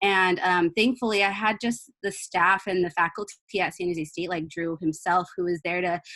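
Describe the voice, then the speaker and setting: Using a normal speaking voice, a woman talks at a fairly quick pace in a medium pitch with fairly even intonation. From California, Ventura County. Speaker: university student. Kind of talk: panel webinar talk.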